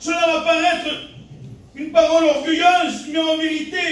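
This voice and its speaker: A loud man at an extremely high pitch, with audible room echo and noticeable background noise. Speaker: pastor. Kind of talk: sermon. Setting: church. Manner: animated.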